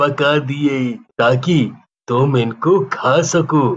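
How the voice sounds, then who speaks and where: This is a man doing a cartoonish character voice at a medium pitch. He speaks at a very slow pace. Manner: gentle, affectionate.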